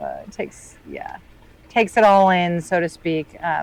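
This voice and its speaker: Quiet and fairly slow, a woman with a Midwestern US accent talks at a fairly low pitch. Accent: US Midwest. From Northern Illinois. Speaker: boater and remote worker. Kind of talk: casual chat. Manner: quiet, reserved.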